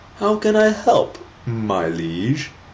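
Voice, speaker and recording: A man does a put-on character voice, pitched fairly high and full of very wide pitch swings. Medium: read story.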